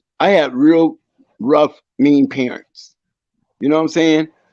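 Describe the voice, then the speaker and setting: Music plays in the background while a man with a fairly high pitch talks at a moderate pace. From Akron, Ohio, US Midwest. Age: 60s. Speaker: Marine Corps veteran. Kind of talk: casual chat. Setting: livestream.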